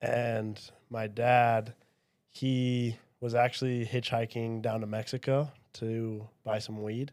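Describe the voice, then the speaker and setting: A man's monotone, flat delivery in a Utah accent, medium in pitch and very slow, on a very clean recording with a silent background. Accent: Utah American English. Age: 20s. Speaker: podcast guest, religious apologist. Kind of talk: casual chat.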